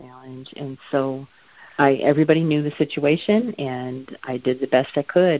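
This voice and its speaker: A speaker with an American accent. The pitch varies in an ordinary way. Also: woman. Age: 60s. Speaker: campaign volunteer. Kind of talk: interview. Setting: phone call.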